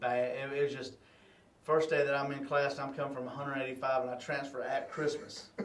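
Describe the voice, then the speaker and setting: Speaking at a fairly quick pace in a monotone, flat intonation, a man with a Southern US accent is heard with audible room echo. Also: fairly high pitch for a man. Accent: country Southern. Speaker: high school football head coach. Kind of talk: casual interview. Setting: video interview for radio show. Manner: halting, many fillers.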